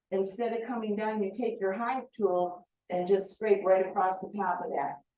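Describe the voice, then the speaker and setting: A woman with an American accent has an ordinary speaking voice. She speaks at a moderate pace and medium pitch with fairly even intonation. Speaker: beekeeping association president and speaker. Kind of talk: presentation to a club meeting.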